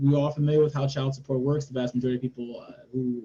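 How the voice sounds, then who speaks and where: A man at medium pitch talks very fast in a somewhat breathy, dark, mellow tone with fairly even intonation. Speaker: policy advocate. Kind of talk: webinar panel discussion. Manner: hesitant, many fillers.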